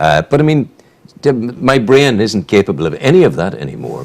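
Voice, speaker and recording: A man speaks with a Northern Irish accent. His pitch swings very widely. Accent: Northern Irish (Newry). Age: 70s. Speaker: radio host. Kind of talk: casual chat; reading aloud.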